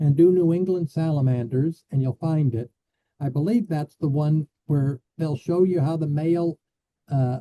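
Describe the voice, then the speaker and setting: A man with an American accent, fairly high-pitched, dark and mellow in tone, somewhat breathy, at a moderate pace with ordinary pitch variation, in a dry, close sound with no echo. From US Midwest (Illinois). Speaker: biologist. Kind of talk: Q&A after lecture. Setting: video call.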